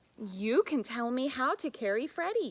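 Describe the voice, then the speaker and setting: A female-sounding voice, high in pitch, performs a put-on character voice at a moderate pace. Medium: read story.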